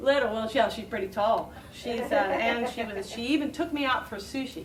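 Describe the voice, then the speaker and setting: The speech moves at a moderate pace with ordinary pitch variation, amid noticeable background noise and audible room echo. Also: woman, fairly high pitch for a woman. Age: 50s. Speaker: talk show host. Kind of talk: casual chat. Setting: stage with audience. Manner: halting.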